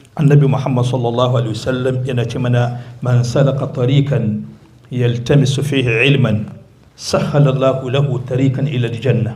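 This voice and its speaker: A man talks at a very fast pace and medium pitch, his intonation monotone and flat. Noticeable background noise and audible room echo surround him. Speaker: visiting Islamic preacher. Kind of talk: sermon with interpretation. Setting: mosque.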